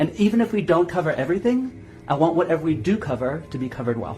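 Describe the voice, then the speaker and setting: Music plays behind a man speaking at a fairly quick pace. His voice carries audible room echo. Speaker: hypnosis trainer. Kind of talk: guided visualization; lecture. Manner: fast.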